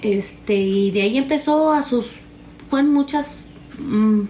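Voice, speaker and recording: A woman talks at a very slow pace, with ordinary pitch variation. Audible room echo and noticeable background noise surround her voice. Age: 30s. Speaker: interviewee sharing personal story. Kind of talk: personal testimony. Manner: halting, many fillers.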